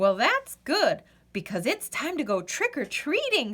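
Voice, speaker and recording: A woman puts on a character voice, high-pitched and delivered at a moderate pace. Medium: read story.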